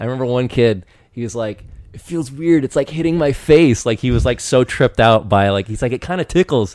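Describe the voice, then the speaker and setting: An American-accented man speaks at a fairly quick pace with a medium pitch and lively intonation. His tone is animated, and the sound is dry and close with no echo. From eastern Washington, US. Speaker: podcast guest. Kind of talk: casual chat.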